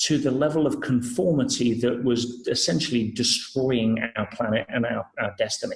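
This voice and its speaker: A man speaks at a moderate pace with an English accent. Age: 40s. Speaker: personal development speaker. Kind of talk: podcast interview.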